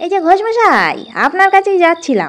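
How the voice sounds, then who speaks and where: With a put-on character voice, a woman speaks squeaky and extremely high, raised and projected, with lively intonation at a moderate pace. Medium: read story. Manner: ingratiating, sly.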